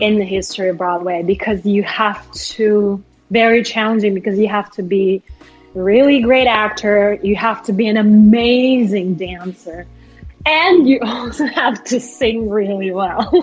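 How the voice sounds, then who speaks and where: With music in the background, a woman talks at a fairly high pitch with ordinary pitch variation. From Kazakhstan. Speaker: actress, singer and lawyer. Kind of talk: interview answer.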